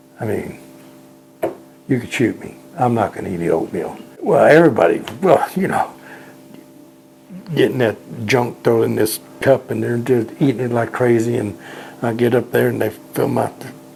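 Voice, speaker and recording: Noticeable background noise runs under speech at a moderate pace broken by long, frequent pauses. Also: man. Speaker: war veteran. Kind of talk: interview storytelling. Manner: halting, repeats words.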